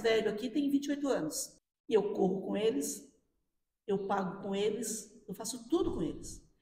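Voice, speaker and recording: Animated and fairly high-pitched, a woman speaks at a moderate pace with audible room echo. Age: 60s. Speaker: firefighter. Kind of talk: interview.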